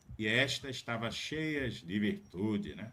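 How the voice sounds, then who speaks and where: Very slow in pace, a man speaks. His tone is bright and sharp. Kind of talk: panel discussion. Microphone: audio too quiet.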